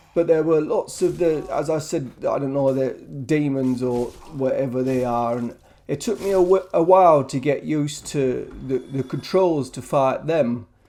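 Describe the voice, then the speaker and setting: A dark, mellow voice in a British accent, at a fairly slow pace with ordinary pitch variation. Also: man, fairly high pitch for a man. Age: 70s. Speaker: gamer. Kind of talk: casual talk to camera. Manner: hesitant, stammering.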